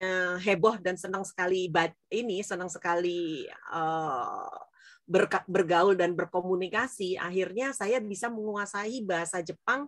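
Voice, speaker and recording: A woman speaks at a medium pitch and a fairly slow pace, with ordinary pitch variation. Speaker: business speaker. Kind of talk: interview talk to students. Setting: online event. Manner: animated.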